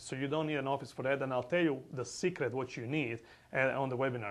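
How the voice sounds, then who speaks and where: His pitch sits fairly high. The man talks with a non-native accent. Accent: foreign. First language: not English. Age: 40s. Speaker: real estate investor. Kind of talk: sales pitch. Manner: animated.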